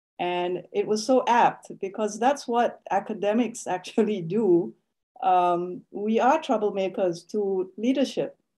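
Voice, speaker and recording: A woman's dark, mellow voice, fairly slow with ordinary pitch variation, over a quiet background. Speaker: academic. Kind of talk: lecture. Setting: video call. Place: home room. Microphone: video call.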